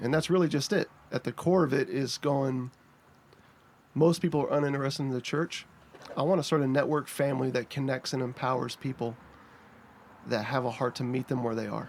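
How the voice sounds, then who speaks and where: Speaking at a fairly quick pace with a North Carolina accent, a man talks at a fairly high pitch with fairly even intonation. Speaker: pastor. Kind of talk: casual chat. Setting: podcast recorded in a treehouse.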